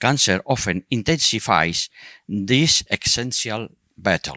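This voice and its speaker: A man with a non-native accent speaks at a very slow pace in a medium-pitched voice with a bright, sharp tone and lively intonation. The very clean recording has a silent background and a dry, close sound with no echo. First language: not English. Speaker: psychologist and patient advocate. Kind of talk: reading aloud.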